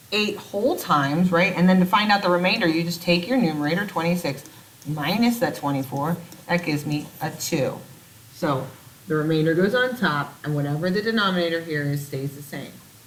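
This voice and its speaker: A woman talks at a moderate pace with a fairly low pitch and ordinary pitch variation. Audible room echo and noticeable background noise fill the recording. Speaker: math teacher. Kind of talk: recorded video lesson. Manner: casual.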